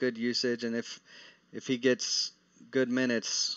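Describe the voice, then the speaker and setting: A man speaks with a Texas accent at a medium pitch. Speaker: daily fantasy sports analyst. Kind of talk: live stream Q&A. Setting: live stream. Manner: casual, with frequent fillers and restarts.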